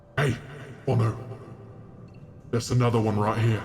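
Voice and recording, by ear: Against clear background noise, a man puts on a character voice at a medium pitch. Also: moderate pace.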